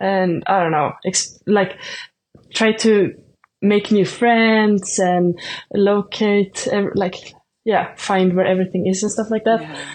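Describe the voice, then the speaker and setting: Speaking in a Swedish accent, a woman keeps a monotone, flat intonation. She goes at a very slow pace. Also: medium pitch for a woman. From Sweden. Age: 20s. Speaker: shot putter, student athlete. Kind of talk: casual interview. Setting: remote call.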